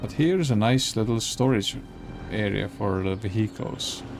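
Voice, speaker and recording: Music can be heard in the background. The talker speaks with a non-native accent. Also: man. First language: not English. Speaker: gaming YouTuber. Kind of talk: gameplay commentary. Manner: casual, self-correcting.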